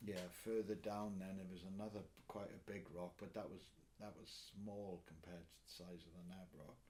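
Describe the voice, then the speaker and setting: Spoken in a Welsh accent, the voice has a dark, mellow tone, fairly even intonation and a fairly slow pace. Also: man. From Swansea, Wales. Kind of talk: interview answer. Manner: casual, conversational.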